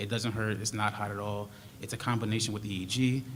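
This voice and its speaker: Soft-spoken speech comes at a fairly quick pace. There is audible room echo and noticeable background noise. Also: man. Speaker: research study presenter. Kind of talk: presentation to school board.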